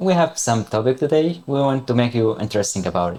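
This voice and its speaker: A man with an Arabic accent, medium-pitched, with a dark, mellow tone. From Palestine. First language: Arabic (speaking Indonesian). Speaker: international university student. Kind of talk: casual interview chat.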